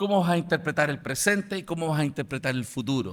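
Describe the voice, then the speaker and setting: Captured in a very clean recording with a silent background, a man with a Chilean accent speaks at a high pitch with lively intonation and a bright, sharp tone. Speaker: apologetics lecturer. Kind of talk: lecture.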